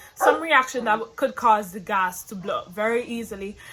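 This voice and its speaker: A woman speaks over noticeable background noise. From Caribbean. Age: young. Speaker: hair vlogger. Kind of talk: personal storytime to camera.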